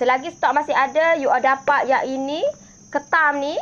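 With light background noise behind her, a woman speaks at a high pitch. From Malaysia. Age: 30s. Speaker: home business seller; online seller. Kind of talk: live-stream sales chat. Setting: Facebook live stream. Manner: animated. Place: garden. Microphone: phone near.

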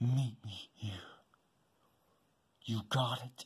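Medium-pitched put-on character voice from a man. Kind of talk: fan-made stop-motion voice acting. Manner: menacing, threatening.

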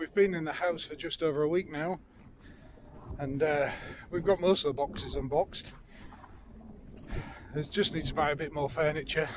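A man's voice with ordinary pitch variation and a moderate pace, dry with no echo, plus noticeable background noise. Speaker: dog owner vlogger. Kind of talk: casual vlog chat. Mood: content, relaxed. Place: open country. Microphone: phone near.

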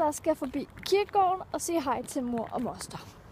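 A woman's high voice at a moderate pace, dry with no echo, over light background noise. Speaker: vlogger. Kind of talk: casual vlog chat. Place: street. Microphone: phone near.

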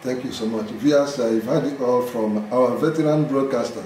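Pitch varies in an ordinary way. Audible room echo and light background noise are present. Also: man. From Nigeria. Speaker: interviewer. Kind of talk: interview. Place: home room.

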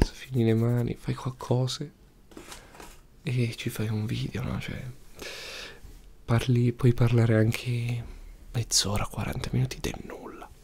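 A soft-spoken man talks at a very slow pace with long, frequent pauses, his medium-pitched voice somewhat breathy and his intonation monotone and flat. His tone is relaxed, and light background noise sits behind him. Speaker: youtuber. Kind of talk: casual talk to camera. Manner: soft-spoken, relaxed. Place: home room. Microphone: studio mic.

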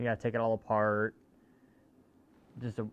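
A man delivers his words at a fairly quick pace. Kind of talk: casual tutorial vlog chat. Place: garage. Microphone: phone near.

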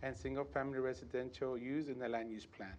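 Ordinary pitch variation and a fairly quick pace from a man. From South Texas. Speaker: city planner; presenter. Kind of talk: formal staff report reading. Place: hall.

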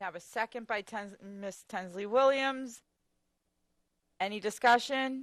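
A woman with a fairly high pitch speaks at a fairly slow pace, using ordinary pitch variation, big swings in loudness, and long, frequent pauses, on a very clean recording with a silent background. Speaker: school committee chair. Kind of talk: public meeting procedure. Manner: halting.

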